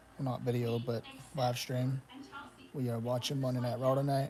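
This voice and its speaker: Amid noticeable background noise, a man speaks in a flat monotone at a medium pitch and a moderate pace. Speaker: wrestling live stream host. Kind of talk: casual live stream commentary. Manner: casual, halting with fillers.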